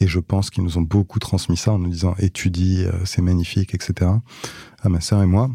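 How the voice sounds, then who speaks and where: Very deep and low, a man's voice has a dark, mellow tone and is somewhat breathy. His intonation is monotone and flat. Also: moderate pace. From France, Paris. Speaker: tech entrepreneur. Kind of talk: interview conversation.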